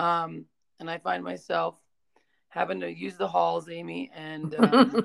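With vocal fry and a very deep, low pitch, a woman talks at a fairly slow pace, her pitch swinging very widely and her loudness rising and falling sharply. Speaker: teacher and podcast host. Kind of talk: casual chat.

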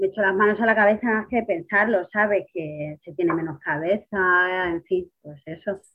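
A woman in an ordinary speaking voice, medium-pitched, talks at a moderate pace with ordinary pitch variation and hardly any pauses. Her loudness swings widely. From Spain, Ciudad Real. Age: 30s. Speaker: kidney patient on dialysis. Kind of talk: interview.

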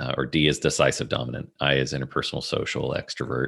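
Very deep and low with vocal fry, a man's voice runs at a very fast pace in a monotone, flat intonation. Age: 40s. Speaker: business consultant and author. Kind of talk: casual interview.

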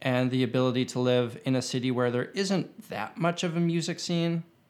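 Speaking at a fairly quick pace with a Canadian accent, a man has a plain, everyday voice and ordinary pitch variation. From Canada, Winnipeg. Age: 30s. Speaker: YouTube guitarist. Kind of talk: casual chat.

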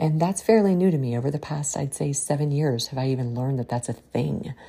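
Low and dark, a woman's mellow voice carries a slightly husky edge and vocal fry. She talks at a fairly quick pace with ordinary pitch variation.

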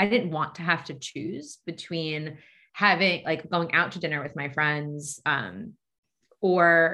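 Speaking at a very slow pace, a woman with an American accent has a fairly low pitch and a bright, sharp tone. Her pitch varies by an ordinary amount, and the recording is very clean with a silent background. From US Northeast, Long Island, New York. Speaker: dietitian. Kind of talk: podcast interview.

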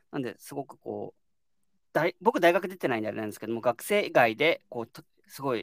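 Speaking at a fairly quick pace, a man with a medium-pitched voice slips into vocal fry. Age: 30s. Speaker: startup co-founder. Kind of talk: casual chat.

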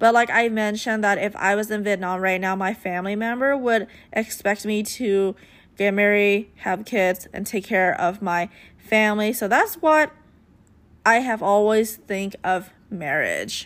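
A woman speaks in a normal speaking voice at medium pitch, with ordinary pitch variation and a fairly slow pace. The recording is very clean, with a silent background. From United States. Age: 20s. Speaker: podcast host. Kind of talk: casual monologue.

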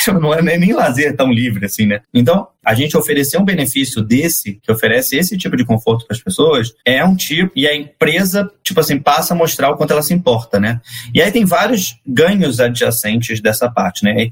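This man's pitch swings very widely while his loudness stays very even, and he moves at a fairly quick pace with hardly any pauses. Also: fairly high pitch for a man. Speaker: marketing director. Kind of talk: casual interview.

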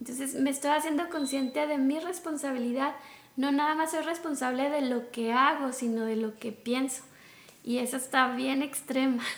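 The speaker moves at a moderate speed. Intonation is fairly even. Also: woman, high pitch for a woman. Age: 40s. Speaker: life coach. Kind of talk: casual conversation. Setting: outdoors in a park. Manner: calm, peaceful.

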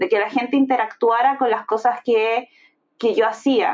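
A woman with a Chilean accent speaks at a fairly high pitch. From Chile, Viña del Mar. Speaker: product designer. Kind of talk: casual interview.

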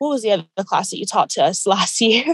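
Speaking at a fairly high pitch with ordinary pitch variation, a woman sounds dry and close with no echo. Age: 20s. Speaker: student podcast co-host. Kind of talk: casual chat.

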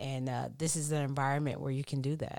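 A woman speaks with an American accent on a very clean recording with a silent background. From Texas. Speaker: pastor's kid, friend of host. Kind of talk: casual chat. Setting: home recording.

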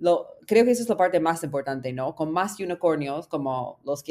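The speaker talks at a fairly quick pace with an English accent and ordinary pitch variation. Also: woman. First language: English (speaking Spanish). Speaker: startup founder. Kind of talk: interview.

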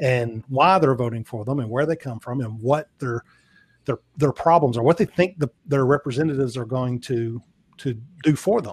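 Speaking at a fairly quick pace with a Southern US accent, a man with a medium-pitched, somewhat breathy voice uses ordinary pitch variation. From US South. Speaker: podcast guest. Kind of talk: casual chat.

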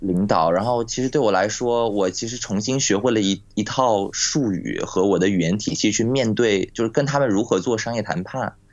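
Using an ordinary speaking voice, a man talks at a moderate pace with ordinary pitch variation and hardly any pauses. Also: fairly low pitch for a man. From Nantong, Jiangsu, China. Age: 20s. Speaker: improv theatre actor. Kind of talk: casual interview chat. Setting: Skype call.

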